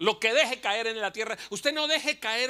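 A man's raised, projected voice with an animated tone. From Colombia, Bucaramanga; Colombia. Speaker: pastor and comedian; pastor, comedian. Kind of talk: sermon. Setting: church. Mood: humorous, passionate. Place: church. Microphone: handheld.

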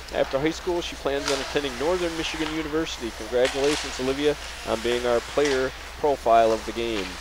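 Very fast, a man with an American accent talks at fairly high pitch with ordinary pitch variation, in a dry sound with no echo over noticeable background noise. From US Midwest. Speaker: sports commentator. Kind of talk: live commentary. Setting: commentary booth at ice rink. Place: stadium. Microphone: headset.

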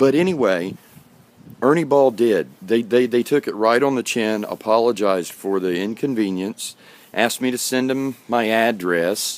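At a moderate pace, a man talks in a medium pitch with ordinary pitch variation and a dry sound with no echo. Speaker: guitarist and video blogger. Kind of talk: casual rant to camera. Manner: hesitant, many fillers. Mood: earnest, mildly ranting. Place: garden. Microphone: phone near.

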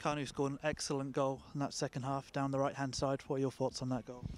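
A man talks at a fast pace. His pitch barely moves. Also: medium pitch for a man, slightly mellow tone.

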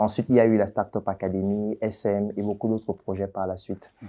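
A dark, mellow tone marks this man's speech. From Cameroon, Yaoundé; Cameroon. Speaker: doctor and entrepreneur; interviewee. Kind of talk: interview. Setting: office. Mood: calm, explaining, defending himself. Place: studio. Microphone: lapel.

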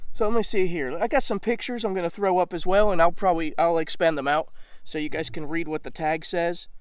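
A man with an American accent speaks at a very fast pace and a high pitch, with ordinary pitch variation over a quiet background. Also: dry sound with no echo. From Mississippi, US South. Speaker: video channel host, gun reviewer. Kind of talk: angry rant. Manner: indignant, emphatic, sarcastic. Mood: critical, aggrieved but measured. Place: open country. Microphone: phone near.

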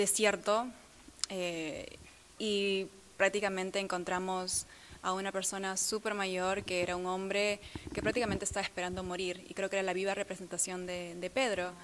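A woman's monotone, flat delivery over noticeable background noise. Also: moderate pace. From Peru. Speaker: model and actress; actress. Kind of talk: interview. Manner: halting. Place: hall.

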